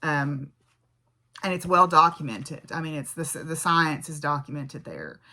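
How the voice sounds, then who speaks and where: Very deep and low for a woman, her voice has a bright, sharp tone and a Southern US accent, moving at a moderate pace in a very clean recording with a silent background. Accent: Southern American. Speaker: physics professor and craft vlogger. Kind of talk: casual vlog monologue. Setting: home farm. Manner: conversational, with fillers and restarts.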